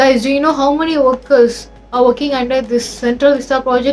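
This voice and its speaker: At a fairly quick pace, a woman with a high pitch and a non-native accent talks over noticeable background noise. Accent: non-native accent, self-acknowledged. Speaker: educational YouTuber. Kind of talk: explainer video. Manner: casual, conversational with frequent fillers.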